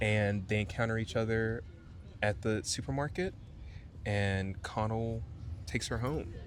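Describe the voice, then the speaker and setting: Quiet and very even in loudness, a man with a fairly low pitch speaks at a fairly slow pace, with ordinary pitch variation and long, frequent pauses. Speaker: podcast co-host. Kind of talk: casual book discussion. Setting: outdoors in a park. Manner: speaking quietly.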